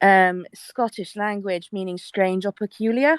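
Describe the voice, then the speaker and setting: Speaking at a moderate pace with a British accent, a woman uses a medium pitch and ordinary pitch variation, recorded with a dry, close sound with no echo. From UK. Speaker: panelist. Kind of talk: panel discussion. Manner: halting.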